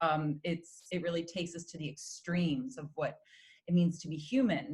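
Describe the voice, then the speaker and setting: Somewhat breathy, this woman's voice sits fairly low in pitch. She speaks at a moderate pace with ordinary pitch variation. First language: Spanish. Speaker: opera singer. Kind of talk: interview.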